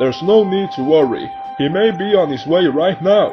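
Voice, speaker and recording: A man's put-on character voice, high in pitch, at a moderate pace over clear background music. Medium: fan dub. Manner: pompous, dismissive.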